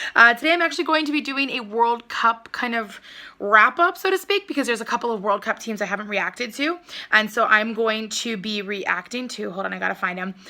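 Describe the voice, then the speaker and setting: A woman's fairly high, lively voice at a fairly quick pace, with noticeable background noise. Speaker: young adult fiction author and YouTuber. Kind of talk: casual vlog reaction review. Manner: hesitant, many filler ums.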